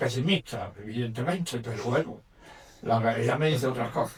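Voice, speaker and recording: A man speaks in an ordinary speaking voice. His pace is moderate. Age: 60s. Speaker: audience member. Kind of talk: audience question.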